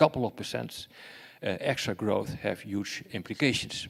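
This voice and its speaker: A man with a Dutch accent speaks at a moderate pace and a fairly low pitch. His voice shows vocal fry and ordinary pitch variation. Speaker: security expert and professor. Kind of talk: lecture. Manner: halting, many fillers and repetitions.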